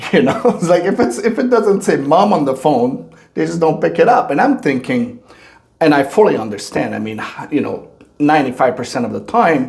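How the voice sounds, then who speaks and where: A man's fairly high voice with very wide pitch swings, set against noticeable background noise. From Quebec. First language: French. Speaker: podcast host. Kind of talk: interview.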